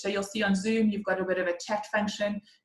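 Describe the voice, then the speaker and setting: Somewhat breathy, a woman talks at medium pitch. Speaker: accounting tutor. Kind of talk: online class orientation. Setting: video call. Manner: fast.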